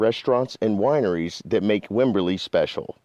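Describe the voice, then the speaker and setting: The man's tone is dark and mellow, with lively intonation. He talks at a moderate pace against a quiet background. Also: dry, close sound with no echo. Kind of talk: radio announcer read.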